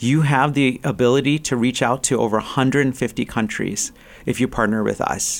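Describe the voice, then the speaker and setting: A man with an American accent, medium pitch, fairly even intonation and very even loudness. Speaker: pastor and university chaplain. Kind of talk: interview conversation. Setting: studio. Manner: halting.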